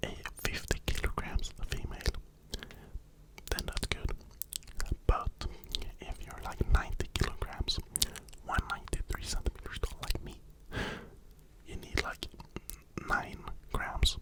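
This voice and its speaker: A man whispers at a moderate pace with long, frequent pauses and big swings in loudness, while noticeable background noise sits underneath. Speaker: ASMR creator doing a personal trainer roleplay. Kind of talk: ASMR roleplay consultation with gym and nutrition tips. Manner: whispered, close-up, soft-spoken.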